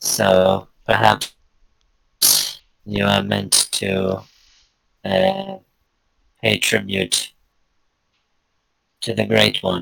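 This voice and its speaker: In a put-on character voice with a very deep, low pitch, a man speaks at a very slow pace, leaving long, frequent pauses. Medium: actual play. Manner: evasive, slightly haughty.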